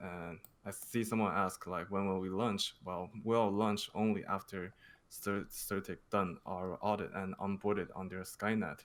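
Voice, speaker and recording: A man with a non-native accent talks at a fairly slow pace in a fairly low, monotone voice with flat intonation. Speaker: crypto project marketing manager. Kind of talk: interview Q&A. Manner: halting, many fillers.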